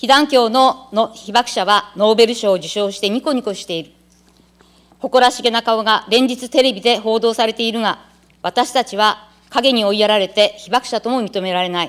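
Against a quiet background, a woman with a fairly high pitch speaks at a moderate pace with ordinary pitch variation and big swings in loudness. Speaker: city council member. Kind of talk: parliamentary questioning. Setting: council chamber. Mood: earnest, quoting survivors' grievance. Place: hall.

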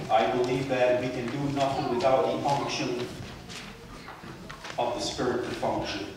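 A man's monotone, flat delivery at a moderate pace, with noticeable background noise and strong room echo. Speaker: preacher. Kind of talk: sermon. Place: church.

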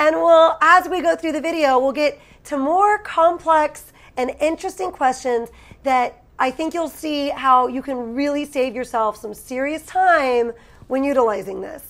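Her pitch high and her intonation lively, a woman speaks at a fairly slow pace. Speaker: online seller, channel host. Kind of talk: tutorial. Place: home room.

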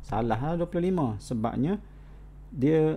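A man speaks very slowly in a dark, mellow tone. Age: 40s. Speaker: college lecturer. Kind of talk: online lecture.

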